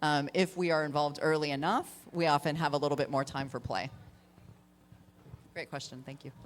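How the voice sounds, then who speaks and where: A woman's very deep, low voice at a fairly quick pace with long, frequent pauses, on a very clean recording with a silent background. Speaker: voice actor. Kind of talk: panel Q&A answer about voice acting. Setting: live convention panel. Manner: lively, conversational.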